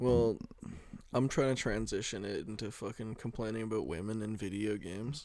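The recording is very clean, with a silent background. A man speaks at a moderate pace with fairly even intonation. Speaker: podcast co-host. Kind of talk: casual chat. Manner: high energy.

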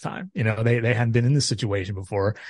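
With an American accent, a man talks at a very fast pace and a medium pitch. His voice is somewhat breathy, and the background is quiet. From Tacoma, Washington. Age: 40s. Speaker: baseball analyst and writer. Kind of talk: casual chat.

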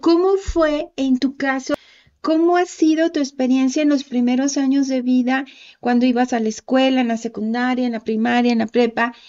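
A woman's high-pitched voice holds a moderate pace. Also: ordinary pitch variation. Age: 50s. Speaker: author. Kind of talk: casual chat.

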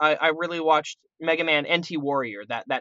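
This man has a plain, everyday voice with a fairly high pitch. He talks at a moderate pace. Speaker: voice actor. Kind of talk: casual chat.

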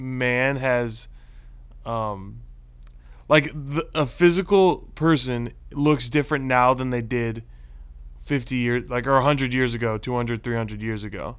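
In a normal speaking voice, a man with an American accent and medium pitch talks at a moderate pace with fairly even intonation. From Texas. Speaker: podcast co-host. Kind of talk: casual chat.

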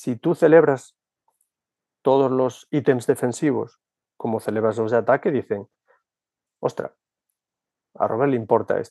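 In a dry, close sound with no echo, a man with a dark, mellow tone speaks at a fairly slow pace with ordinary pitch variation and long, frequent pauses. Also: medium pitch for a man. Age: 50s. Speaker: basketball coach. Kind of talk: casual chat.

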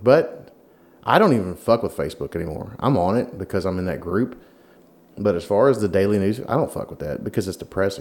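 A man with a Southern US accent talks very fast at a fairly low pitch. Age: 40s. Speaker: podcast host. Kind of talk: casual chat.

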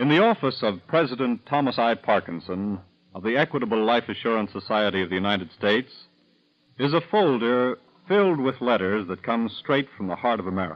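Speaking fairly quickly, a man has a normal speaking voice, a medium pitch and lively intonation. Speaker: radio announcer. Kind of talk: scripted radio announcement. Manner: formal, polished, measured announcer delivery.

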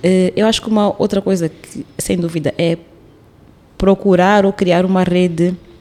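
A woman's fairly slow, fairly evenly intoned speech over noticeable background noise. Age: 30s. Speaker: artist and storyteller, feminist activist. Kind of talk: casual interview conversation.

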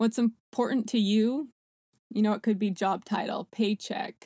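Fairly high-pitched woman's voice in a Canadian accent, dark and mellow in tone, with fairly even intonation and a fairly slow pace, on a very clean recording with a silent background. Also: dry, close sound with no echo. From Canada. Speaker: sales director. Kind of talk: interview.

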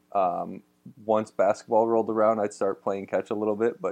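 A man's fairly low voice, flat and monotone, at a very fast pace. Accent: Midwestern American. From Ohio, Toledo area. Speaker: former pro baseball pitcher, college pitching coach. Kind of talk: interview.

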